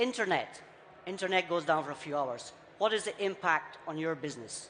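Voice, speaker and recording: A raised, projected voice at a moderate pace, with lively intonation. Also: man. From Scotland. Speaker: IT business leader, conference speaker. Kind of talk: conference talk.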